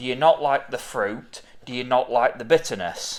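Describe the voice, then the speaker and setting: A man with a medium-pitched voice talks at a fairly slow pace. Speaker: beer reviewer and craft beer seller. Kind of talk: casual beer tasting review chat.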